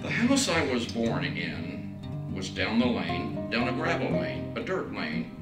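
A man's voice is heard. Loud music plays in the background. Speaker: church minister. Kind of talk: sermon-style teaching and personal story. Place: studio.

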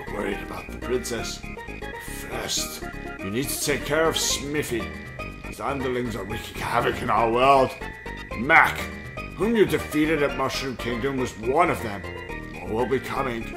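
A man uses a put-on character voice at medium pitch and a moderate pace. Loud music plays in the background. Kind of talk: gamer reading dialogue aloud in a put-on voice. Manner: measured, solemn, courteous.

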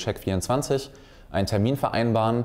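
A man's fairly low, dark and mellow voice with ordinary pitch variation. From Wuppertal, western Germany; Germany. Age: 20s. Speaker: salesman for security systems. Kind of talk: career talk to young people. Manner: frequent filler hesitations. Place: studio.

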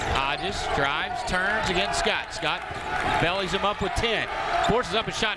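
Against loud background noise, the speech moves at a fairly slow pace. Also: dry sound with no echo. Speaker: basketball play-by-play announcer. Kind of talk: live sports play-by-play commentary over game highlights. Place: stadium. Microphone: headset.

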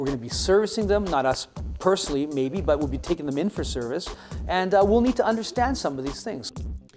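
Clear music plays in the background. A man speaks at a very fast pace. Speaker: shop instructor. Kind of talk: interview answer. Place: classroom.

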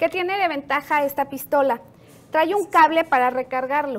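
A woman speaks at a moderate pace in a high voice, with ordinary pitch variation.

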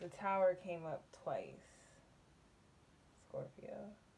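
A woman's slow voice of fairly low pitch, slightly mellow in tone, with vocal fry and lively intonation

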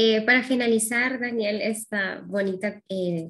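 A woman talks in an ordinary speaking voice, fairly high in pitch with ordinary pitch variation. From Honduras. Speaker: interviewer. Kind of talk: interview. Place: home room. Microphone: webcam.

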